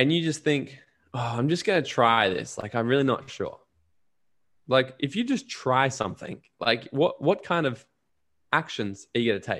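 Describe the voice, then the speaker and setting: A man with an Australian accent, fairly high pitch and lively intonation at a moderate pace, in a very clean recording with a silent background. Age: 20s. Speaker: entrepreneur and podcaster. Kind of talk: casual interview.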